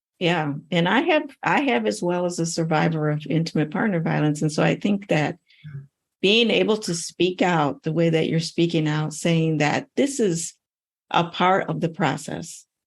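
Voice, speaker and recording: A woman with a normal speaking voice, fairly low in pitch, at a moderate pace and very even loudness. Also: lively intonation. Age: 60s. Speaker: podcast host, anti-trafficking professor. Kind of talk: interview.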